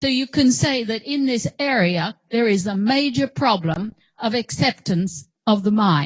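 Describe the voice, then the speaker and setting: A woman's fairly high, somewhat breathy voice swings very widely in pitch at a fairly slow pace. The sound is dry and close, with no echo. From Australia. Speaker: professor. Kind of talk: lecture. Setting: auditorium with audience.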